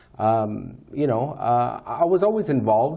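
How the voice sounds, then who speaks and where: Audible room echo hangs around words spoken at a fairly slow pace. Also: man. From Roswell, New Mexico. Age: 50s. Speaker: city council candidate. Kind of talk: interview. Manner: halting, many fillers.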